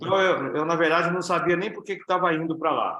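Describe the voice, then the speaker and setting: A man's bright, sharp voice with audible room echo. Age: 60s. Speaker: network marketing business leader. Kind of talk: interview.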